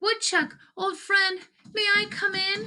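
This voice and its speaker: Putting on a character voice, a woman speaks squeaky and at an extremely high pitch, slowish and with monotone, flat intonation. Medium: read story. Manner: polite, hopeful.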